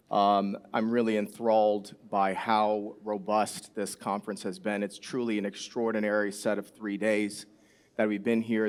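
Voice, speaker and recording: The speaker has an American accent and keeps a moderate pace. The intonation is monotone and flat. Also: man. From US Midwest, Chicago. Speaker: conference panelist. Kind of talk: panel discussion. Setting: stage with audience.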